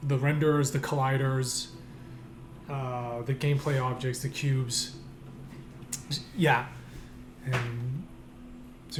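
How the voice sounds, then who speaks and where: A man's medium-pitched, somewhat breathy voice at a fairly slow pace, with long, frequent pauses and audible room echo. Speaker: indie game developer and streamer. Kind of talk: live stream commentary while working. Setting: live stream from home desk. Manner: hesitant, many repeats and fillers.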